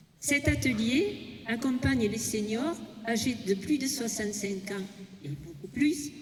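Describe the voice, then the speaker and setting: A woman speaks at a very slow pace with fairly high pitch and lively intonation. Noticeable background noise and audible room echo are present. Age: 80s+. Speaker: senior fitness participant. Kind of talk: prepared speech. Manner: reading from notes.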